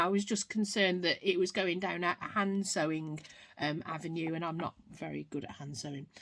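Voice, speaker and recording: A woman speaks with a British accent. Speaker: craft vlogger. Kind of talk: unboxing video, casual. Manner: loud; unscripted, with ums and errors.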